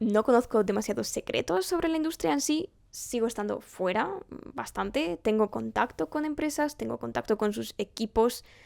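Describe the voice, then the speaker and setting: On a very clean recording with a silent background, a woman speaks at a fairly high pitch with very wide pitch swings. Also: moderate pace, dry, close sound with no echo. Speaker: vlogger and university student. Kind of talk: casual vlog to camera. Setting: home recording setup.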